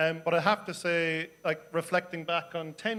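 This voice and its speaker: In an Irish accent, a man speaks at a fairly high pitch. His intonation is monotone and flat. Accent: soft Irish. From Ireland, Cork. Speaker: city councillor. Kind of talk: panel discussion. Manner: hesitant, many fillers.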